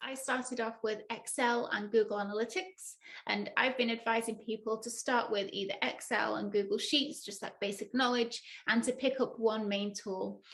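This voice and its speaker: A woman speaks with a northern English accent. Her pitch sits fairly high. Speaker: data analyst and tech educator. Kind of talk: tutorial.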